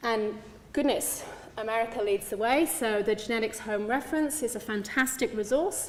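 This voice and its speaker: Speaking at a fairly quick pace, a woman with an English accent and a fairly high pitch is heard over noticeable background noise. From England. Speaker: clinical geneticist. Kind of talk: conference talk.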